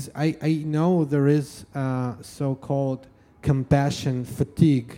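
With a Russian accent, a man speaks at a very slow pace and a medium pitch. His tone is dark and mellow, with fairly even intonation. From Russia, Yekaterinburg. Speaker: live music promoter. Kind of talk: interview. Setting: stage with audience. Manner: halting.

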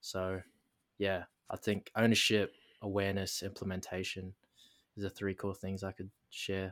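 Pausing long and often, a man speaks at a moderate pace with a fairly low, monotone, flat delivery in a dry, close sound with no echo on a very clean recording with a silent background. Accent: Australian. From Darwin, Northern Territory, Australia. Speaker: mindset and business coach. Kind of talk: casual interview, life story. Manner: hesitant, many fillers.

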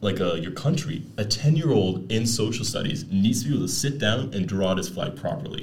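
Amid audible room echo, a man speaks at a fairly quick pace with lively intonation. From Netherlands and Canada. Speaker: podcast host. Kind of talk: casual chat.

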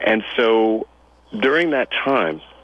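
With noticeable background noise around him, a man speaks with lively intonation. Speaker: health and wellness consultant. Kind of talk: radio interview.

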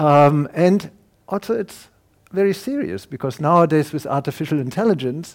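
With a German accent, a man talks at a moderate pace using lively intonation. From Germany. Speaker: professor and neuroscientist. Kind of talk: lecture.

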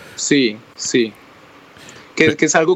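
Speaking at a fairly slow pace, a man has an unremarkable speaking voice with fairly high pitch. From Colombia, Cúcuta (border with Venezuela). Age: 30s. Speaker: startup founder. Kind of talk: interview.

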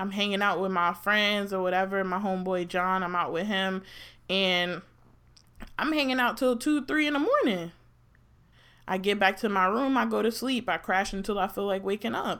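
Animated and bright, sharp in tone, a woman speaks at a moderate pace with an American accent. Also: medium pitch for a woman, ordinary pitch variation. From New Jersey. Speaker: podcast co-host. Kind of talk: casual chat. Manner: animated, laughing often.

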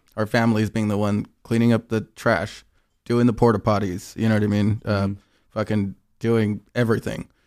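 With an American accent and a plain, everyday voice, a man talks at a fairly quick pace and medium pitch on a very clean recording with a silent background. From Inland Empire, Southern California. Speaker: artist liaison and DJ. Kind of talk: casual chat. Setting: studio.

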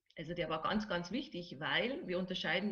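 Using a plain, everyday voice, a woman talks at medium pitch and a moderate pace, her pitch varying in an ordinary way. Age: 40s. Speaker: relaxation therapist. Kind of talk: interview.

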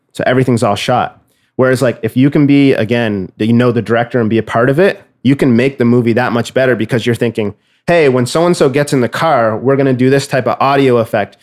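In a Canadian accent, a man speaks at a very fast pace. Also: medium pitch for a man, ordinary pitch variation, very even loudness. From Nova Scotia, Canada. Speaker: music producer. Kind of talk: casual interview.

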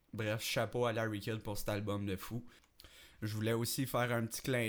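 Very clean and set against a silent background, the recording has a man speaking at medium pitch in a monotone, flat intonation. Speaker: amateur podcast host and rapper. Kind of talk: casual solo podcast talk. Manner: hesitant, many fillers.

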